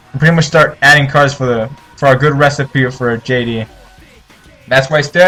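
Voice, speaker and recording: Music is playing behind the speaker. He is a man talking at a moderate pace. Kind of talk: casual deck profile commentary. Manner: stumbling, many filler words.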